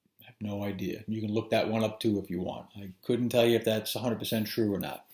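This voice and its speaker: A man with an American accent speaks very fast at a fairly low pitch, in a monotone, flat intonation. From New York. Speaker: anatomy instructor. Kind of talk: lecture. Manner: casual, with fillers.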